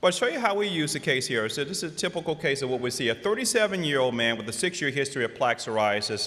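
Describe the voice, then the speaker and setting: A man's fairly high voice racing at a very fast pace, with very wide pitch swings, hardly any pauses and noticeable background noise. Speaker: rheumatologist and conference speaker. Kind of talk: lecture.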